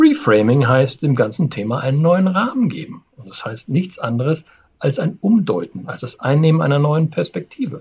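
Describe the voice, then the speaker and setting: A man's fairly high voice, somewhat breathy, with very wide pitch swings, big swings in loudness and a moderate pace. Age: 50s. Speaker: change management consultant, podcast co-host. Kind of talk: casual chat.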